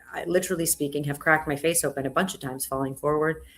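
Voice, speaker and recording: A woman speaks with fairly even intonation. Music plays in the background. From South Florida, US. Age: 40s. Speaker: entrepreneur and comedian. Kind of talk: podcast interview.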